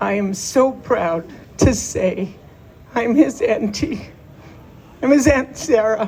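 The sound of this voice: A woman's fairly high voice at a slow pace, with ordinary pitch variation and a slightly mellow tone.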